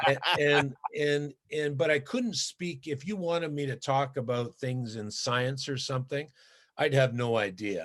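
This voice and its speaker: Speaking with a Canadian accent, a man with a medium pitch shows ordinary pitch variation against a quiet background. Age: 60s. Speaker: former pro hockey player. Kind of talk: interview. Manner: halting, many fillers and repetitions.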